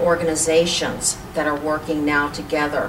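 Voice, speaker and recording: Flat, monotone delivery in an American accent at a moderate pace, with audible room echo and noticeable background noise. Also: woman. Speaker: community organization president. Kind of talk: interview.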